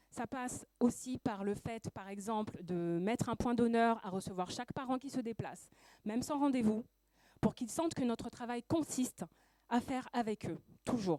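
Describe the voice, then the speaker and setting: A woman has an unremarkable speaking voice with a fairly high pitch. Her pace is moderate and her pitch variation ordinary. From Paris suburbs, France. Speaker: school education counselor and activist. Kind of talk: prepared speech.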